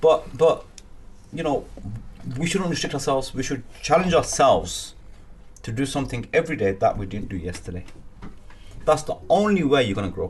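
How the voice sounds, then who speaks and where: A man with a fairly high voice and vocal fry swings his pitch very widely, leaving long, frequent pauses. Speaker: business networker, boxer and aspiring politician. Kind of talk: interview. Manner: energetic.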